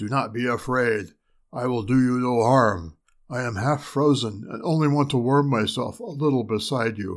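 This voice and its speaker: A man's put-on character voice at medium pitch and moderate pace, on a very clean recording with a silent background. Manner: calm, gentle, reassuring.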